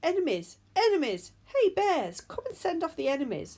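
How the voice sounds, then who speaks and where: A loud, squeaky, high-pitched put-on character voice, shouting at a moderate pace. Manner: loud shouting.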